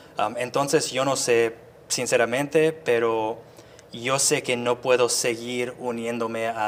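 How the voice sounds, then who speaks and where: This man has a medium pitch and a monotone, flat intonation. He speaks at a fairly slow pace. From US suburbs. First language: English (speaking Spanish). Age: 30s. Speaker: activist. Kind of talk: interview. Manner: halting.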